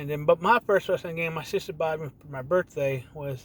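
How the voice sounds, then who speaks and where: A man has a plain, everyday voice with an American accent. His pitch is fairly high, with ordinary pitch variation. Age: 40s. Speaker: gaming vlogger. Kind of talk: casual monologue. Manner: rambling with restarts.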